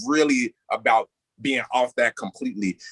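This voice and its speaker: A man with an Indiana accent at a moderate pace, the sound dry and close with no echo. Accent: speaks like someone from Gary, Indiana. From US Midwest, Gary, Indiana. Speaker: panelist, activist media creator. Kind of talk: panel discussion. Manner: animated, casual.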